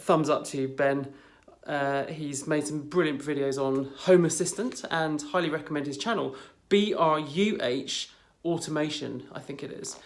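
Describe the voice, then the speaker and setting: A British accent shapes the speech. It moves along at a moderate speed. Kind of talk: casual, conversational. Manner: dry, sarcastic.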